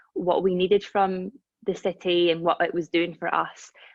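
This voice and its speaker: Monotone, flat intonation from a woman with a Scottish accent, at medium pitch and a moderate pace. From Scotland, Dundee. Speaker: reiki practitioner and holistic healer. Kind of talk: casual chat.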